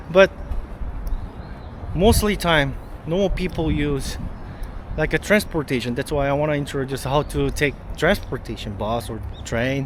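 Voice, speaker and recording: The pace is fairly slow and the pitch variation ordinary, with noticeable background noise throughout. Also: man. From South Korea. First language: Korean. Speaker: travel vlogger. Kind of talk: travel vlog walkthrough.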